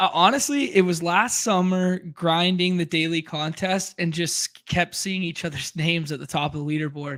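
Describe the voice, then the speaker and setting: This man speaks in a Canadian accent at a high pitch and a moderate pace, with ordinary pitch variation and hardly any pauses. The recording is very clean, with a silent background. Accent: Canadian, noticeable. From western Canada. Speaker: fantasy football player and streamer. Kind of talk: casual interview chat. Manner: laid back.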